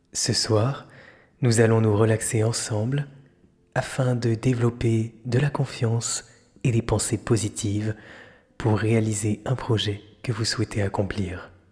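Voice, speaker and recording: A man with a medium pitch speaks very slowly, with long, frequent pauses. His voice is somewhat breathy and his intonation monotone and flat. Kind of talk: guided meditation. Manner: whispered, slow, soothing.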